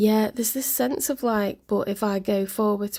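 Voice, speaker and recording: A woman with a dark, mellow, somewhat breathy tone speaks at a fairly slow pace with ordinary pitch variation, on a very clean recording with a silent background. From northwest England (Wirral, Merseyside). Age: 40s. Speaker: tarot reader. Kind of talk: live-stream tarot reading. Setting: home with windows open, live stream. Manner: casual, hesitant with fillers.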